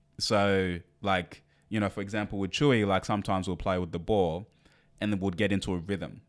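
A man's normal speaking voice, fairly low and fairly quick, on a very clean recording with a silent background. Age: 30s. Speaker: podcast host. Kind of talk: casual chat.

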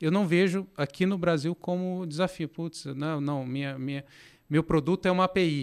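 A man with a high-pitched voice speaks with fairly even intonation on a very clean recording over a silent background. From Brazil, interior of Minas Gerais (Passos). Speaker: fintech product executive. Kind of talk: interview conversation. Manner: halting, many fillers.

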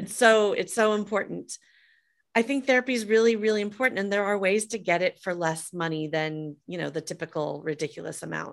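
Speaking at a fairly quick pace with an American accent, a woman has an unremarkable speaking voice with medium pitch and ordinary pitch variation, on a very clean recording with a silent background. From US Midwest, Des Moines, Iowa. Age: 50s. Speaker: entrepreneur and author. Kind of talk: interview.

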